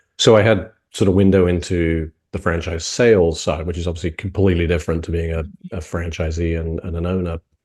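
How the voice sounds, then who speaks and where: Very fast and somewhat breathy, a man with a British accent and a very deep, low pitch speaks in a monotone, flat intonation against a quiet background. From UK. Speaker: franchise consultant. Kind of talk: interview. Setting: video call.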